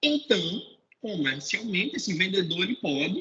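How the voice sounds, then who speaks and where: A man's raised, projected voice, bright and sharp in tone, at a moderate pace and with very wide pitch swings. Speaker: sales manager in health insurance. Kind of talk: webinar talk. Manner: repetitive stammering on words.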